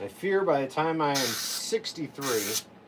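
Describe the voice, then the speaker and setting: A man's voice over noticeable background noise. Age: 40s. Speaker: chainsaw carver. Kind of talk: casual chat. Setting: livestream.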